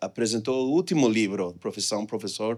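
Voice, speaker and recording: On a very clean recording with a silent background, the pitch varies in an ordinary way. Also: man. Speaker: economist presenting research. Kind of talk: conference presentation. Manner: hesitant, many filler sounds.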